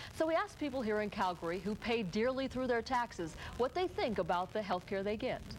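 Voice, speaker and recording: This woman uses a normal speaking voice with a fairly high pitch and lively intonation. She moves at a fairly quick pace with hardly any pauses. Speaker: TV news co-anchor. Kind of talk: TV newscast anchor.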